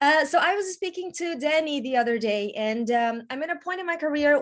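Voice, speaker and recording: Delivered at a moderate pace in a Brazilian Portuguese accent, the speech has lively intonation. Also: woman. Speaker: actor. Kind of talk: Q&A question.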